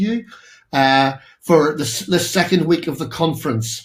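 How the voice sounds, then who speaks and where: Pitch variation in this voice is ordinary. The speaker has a Northern Irish accent. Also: man. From Northern Ireland. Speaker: architect and professor, keynote speaker. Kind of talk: keynote presentation. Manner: halting, many fillers.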